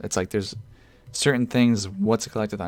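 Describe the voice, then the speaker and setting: Music plays in the background as a man talks at a fairly low pitch. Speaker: gaming youtuber. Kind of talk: casual commentary video. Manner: fast.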